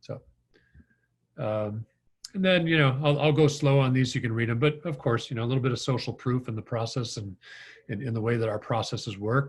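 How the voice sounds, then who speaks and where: At a fairly quick pace, a man with a Midwestern accent speaks somewhat breathily at medium pitch, with ordinary pitch variation and long, frequent pauses. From US Midwest, Green Bay, Wisconsin. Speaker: financial marketing consultant. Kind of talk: webinar presentation. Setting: video call. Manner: hesitant, many fillers.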